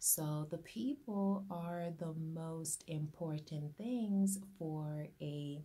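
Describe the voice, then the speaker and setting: A woman's very deep, low voice, dark and mellow in tone, somewhat breathy, with ordinary pitch variation. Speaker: business owner, grant consultant. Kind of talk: informal talk to camera. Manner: hesitant, with fillers.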